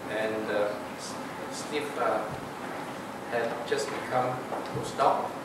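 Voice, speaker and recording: Loud background noise and audible room echo throughout. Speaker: institute director. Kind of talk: formal introduction. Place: hall.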